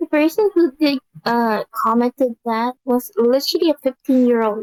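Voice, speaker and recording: Her high pitch showing ordinary variation, a woman speaks at a moderate pace in a dry, close sound with no echo. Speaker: live streamer. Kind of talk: casual chat.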